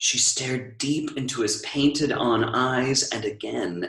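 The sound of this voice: Pitch shifts in an ordinary way as someone reads in an unforced voice.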